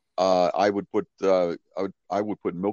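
A man with a very deep, low voice speaks in a Pittsburgh accent. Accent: Western Pennsylvania (Pittsburgh). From Pittsburgh, Western Pennsylvania. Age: 50s. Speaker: horror magician. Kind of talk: casual chat.

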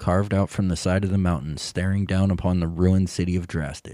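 On a very clean recording with a silent background and a dry, close sound with no echo, a man speaks fairly quickly in a very deep, low pitch with ordinary variation and a dark, mellow tone. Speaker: dungeon master. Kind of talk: tabletop role-playing game session, narrating.

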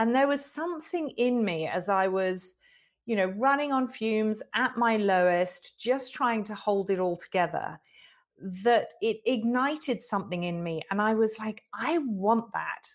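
With an English accent and lively intonation, the speech moves at a fairly slow pace on a very clean recording with a silent background. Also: woman, fairly high pitch for a woman. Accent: English, noticeable as soon as she speaks. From England. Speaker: author and inspirational speaker. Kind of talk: interview.

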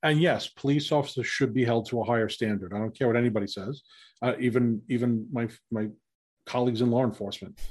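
A man with a New York accent and a medium pitch talks at a very fast pace, with ordinary pitch variation. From New York City. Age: 50s. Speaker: former police officer. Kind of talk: casual interview.

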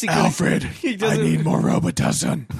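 A man puts on a raspy, hoarse character voice at a fairly slow pace. Background noise is clear.

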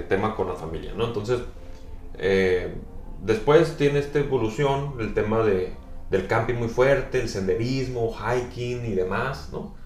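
A man's medium-pitched voice with lively intonation, a fairly slow pace, and audible room echo. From northwest Mexico, Sonora. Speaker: tourism professional and overlanding enthusiast. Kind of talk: casual interview. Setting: coffee shop. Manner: hesitant, many fillers.

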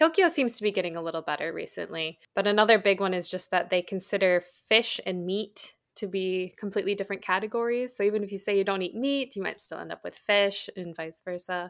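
A woman at medium pitch with an ordinary speaking voice, a fairly quick pace and hardly any pauses, on a very clean recording with a silent background. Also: ordinary pitch variation. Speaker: podcast host. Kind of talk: podcast interview.

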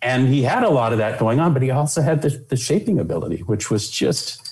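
A man with an American accent talks at a fairly quick pace and medium pitch, his intonation lively and his loudness very even. Noticeable background noise sits behind him. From California. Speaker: Disney animator and attractions director. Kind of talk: interview. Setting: video call.

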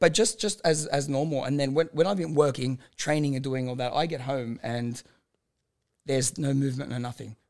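A man with a plain, everyday voice, fairly high pitch and ordinary pitch variation, at a fairly quick pace. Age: 30s. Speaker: amateur boxer and mental health advocate. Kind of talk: casual chat.

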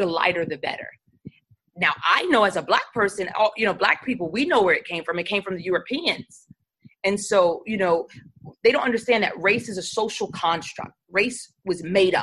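Speaking at a moderate pace with an American accent, a woman uses a medium pitch and ordinary pitch variation. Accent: New York accent, stronger when passionate. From New York City. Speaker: church leader and seminary student. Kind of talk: casual interview chat.

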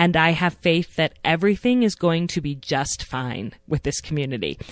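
A woman with an unremarkable speaking voice talks at a moderate pace with lively intonation. Her pitch is fairly low, and the background is quiet. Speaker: podcast host. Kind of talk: scripted intro and casual interview.

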